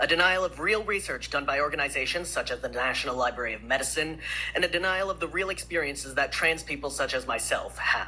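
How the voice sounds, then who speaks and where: A man talks very quickly, and clear noise runs underneath. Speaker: member of the public testifying. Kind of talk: public testimony. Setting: legislative committee hearing.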